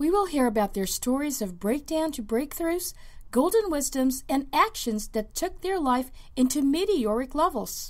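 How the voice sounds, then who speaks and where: Her high-pitched voice swings very widely in pitch as this woman talks at a moderate pace. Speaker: podcast host.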